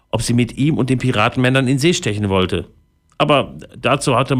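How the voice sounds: Pitch shifts in an ordinary way through a natural reading voice.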